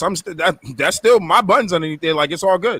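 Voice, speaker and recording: Speaking at a very fast pace in a raised, projected voice, a man with an American accent uses a high pitch and lively intonation, captured in a dry, close sound with no echo. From Boston. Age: 30s. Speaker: podcast host. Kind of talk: casual chat. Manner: loud; projecting.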